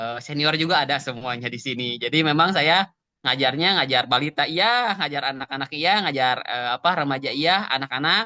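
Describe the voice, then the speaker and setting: Talking at a fairly quick pace with hardly any pauses, a man uses lively intonation in a fairly high pitch. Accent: Sundanese. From West Java (Sunda), Cimahi. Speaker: Quran teacher. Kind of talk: online interview. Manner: hesitant, filler-heavy.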